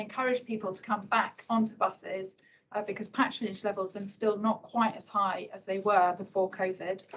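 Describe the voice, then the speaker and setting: A woman speaks quietly at a moderate pace, her voice somewhat breathy. Her pitch is fairly high and her intonation fairly even. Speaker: civil servant presenting transport policy. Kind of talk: conference talk. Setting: hybrid event with live audience. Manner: quietly spoken.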